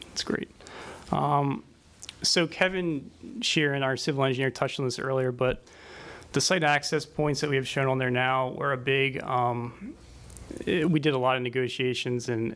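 Intonation is fairly even throughout. Delivery comes at a moderate pace. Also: man. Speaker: traffic engineer. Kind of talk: technical presentation. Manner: soft-spoken. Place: meeting room. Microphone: podium.

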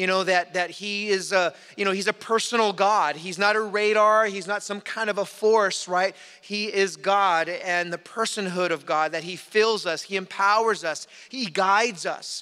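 A man's raised, projected voice, bright and sharp in tone, with fairly even intonation at a moderate pace over a quiet background. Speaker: pastor. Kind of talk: sermon. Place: church. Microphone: podium.

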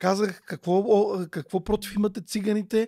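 Speaking fairly slowly, a man with a high pitch and a dark, mellow tone keeps his intonation fairly even. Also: quiet background. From Bulgaria, Vratsa region; Bulgaria. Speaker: parent outreach expert; podcast guest. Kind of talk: casual chat. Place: studio. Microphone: studio mic.

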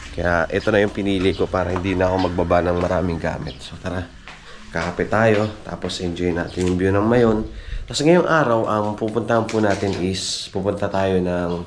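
With light background noise, a man with a very deep, low pitch speaks at a moderate pace and ordinary pitch variation. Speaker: motorbike travel vlogger. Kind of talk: casual vlog chat. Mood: relaxed morning. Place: home room. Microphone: phone near.

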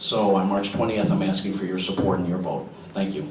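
A man with a low pitch speaks at a fairly quick pace, his slightly mellow tone and fairly even intonation carrying audible room echo.

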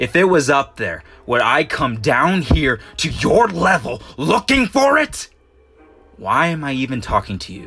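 A man puts on a character voice at a fairly high pitch and a moderate pace. Faint music plays in the background. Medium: dub. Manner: menacing, threatening.

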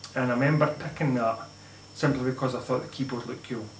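Over light background noise and audible room echo, a man speaks with fairly even intonation. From Scotland or Northern Ireland. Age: 30s. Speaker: gaming YouTuber. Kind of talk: casual vlog monologue. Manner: halting. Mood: nostalgic, relaxed. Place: home room. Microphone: camera far.

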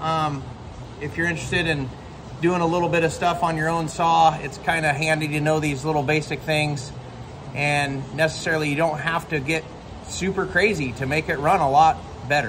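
Noticeable background noise sits behind a man speaking at a moderate pace. His intonation is monotone and flat. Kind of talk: casual tutorial chat. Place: workshop.

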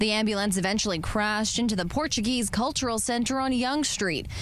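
Against noticeable background noise, a woman with a fairly high pitch speaks at a fairly quick pace with ordinary pitch variation. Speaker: news anchor and reporter. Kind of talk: TV news report.

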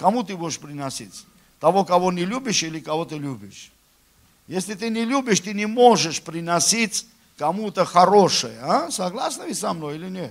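A man at a high pitch with lively intonation, moderate pace and big swings in loudness. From Armenia. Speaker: preacher. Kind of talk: sermon. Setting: church. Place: church.

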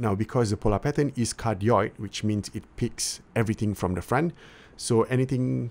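Speech comes at a moderate pace, its pitch varying in an ordinary way. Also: man. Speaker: tech reviewer. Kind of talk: product review demo. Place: home room. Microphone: studio mic.

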